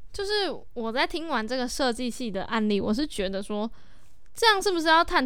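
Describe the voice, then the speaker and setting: A woman speaks at a fairly quick pace. There is audible room echo. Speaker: student podcast host. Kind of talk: casual chat.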